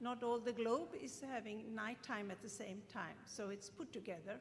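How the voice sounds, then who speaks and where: Through noticeable background noise and audible room echo, a woman speaks with a Swedish accent and lively intonation. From Sweden, Gothenburg. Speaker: professor. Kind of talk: lecture.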